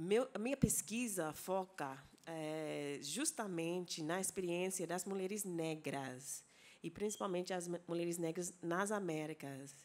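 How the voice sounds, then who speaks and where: This woman's pitch is fairly low, with ordinary pitch variation, and she talks fairly slowly. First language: English (speaking Portuguese). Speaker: anthropology professor. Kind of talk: conference lecture. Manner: halting, with many fillers and self-corrections.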